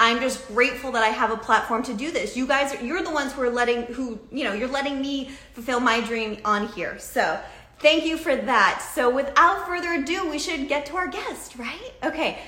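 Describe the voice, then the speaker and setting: A woman with an American accent speaks at a moderate pace in a high, raised, projected voice, her animated tone and lively intonation carrying over noticeable background noise. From Massachusetts, US. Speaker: talk show host. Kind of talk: live video talk show interview. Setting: live video stream.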